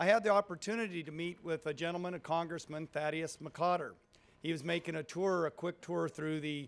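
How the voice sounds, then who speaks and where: The man's voice has a high pitch. He talks at a fairly quick pace. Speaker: president of a political activist group; convention speaker. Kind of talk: political speech. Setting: convention stage with audience. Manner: animated.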